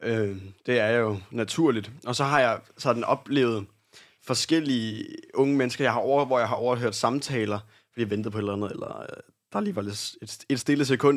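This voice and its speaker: A plain, everyday voice from a man at medium pitch, moderate pace, and ordinary pitch variation. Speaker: radio host. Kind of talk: casual chat.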